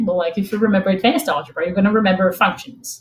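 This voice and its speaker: A woman's somewhat breathy, medium-pitched voice with a Portuguese accent and ordinary pitch variation. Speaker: machine learning expert, product manager. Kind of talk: technical talk with slides. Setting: remote online event. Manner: halting, filler-heavy.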